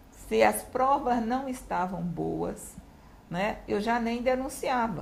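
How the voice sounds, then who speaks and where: A somewhat breathy woman with a Recife accent speaks with lively intonation amid audible room echo. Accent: northeastern Brazilian (Recife). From Brazil, Recife (Pernambuco). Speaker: retired public prosecutor. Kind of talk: interview.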